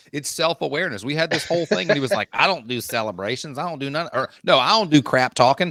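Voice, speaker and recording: A man's fairly high, bright, sharp voice at a very fast pace, lively in intonation with hardly any pauses, the sound dry and close with no echo. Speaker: podcast co-host. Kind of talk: casual chat.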